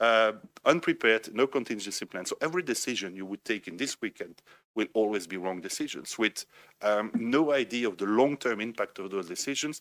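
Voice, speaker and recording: With a Belgian French accent, a man talks at a fairly quick pace and medium pitch with ordinary variation, recorded dry and close with no echo. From Belgium, French-speaking. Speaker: think tank director, panelist. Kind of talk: panel discussion.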